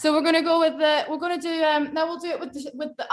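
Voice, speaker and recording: In a Scottish accent, a woman talks at a fairly quick pace. Her pitch is extremely high. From Scotland. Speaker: online movement workshop leader. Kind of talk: live instruction on a video call. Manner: animated.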